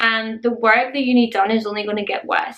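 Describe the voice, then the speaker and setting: Speaking in a Scottish accent, a woman with a fairly high pitch talks fairly quickly over noticeable background noise. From Scotland. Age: adult. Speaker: beauty and lifestyle vlogger. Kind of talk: casual vlog talk to camera.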